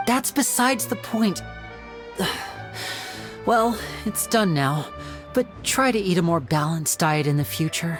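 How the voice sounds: Over faint music in the background, a put-on character voice with a fairly bright tone moves at a slow pace with lively intonation. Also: man, high pitch for a man.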